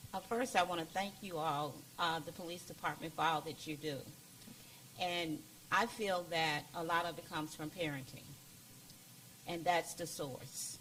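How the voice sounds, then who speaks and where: Speaking at a moderate pace with long, frequent pauses, a woman has a bright, sharp tone, a fairly low pitch and ordinary pitch variation. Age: 70s. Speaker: community member. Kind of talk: community forum comment.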